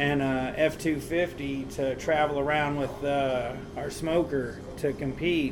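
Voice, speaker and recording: Speaking very slowly in an American accent, the voice stays monotone and flat over noticeable background noise. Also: man. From Tennessee (Nashville, Smithville). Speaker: barbecue restaurant owner. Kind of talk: casual interview.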